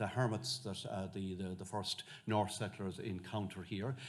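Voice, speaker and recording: In a West of Ireland accent, the speaker talks at a moderate pace with ordinary pitch variation, and audible room echo can be heard. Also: man. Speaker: monk and medieval historian. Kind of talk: lecture. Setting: lecture hall with audience. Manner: halting, many fillers.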